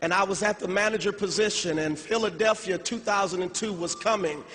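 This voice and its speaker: There is noticeable background noise behind this recording. A man with a high voice speaks at a fairly quick pace. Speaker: motivational speaker at business convention. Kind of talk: motivational speech. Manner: animated.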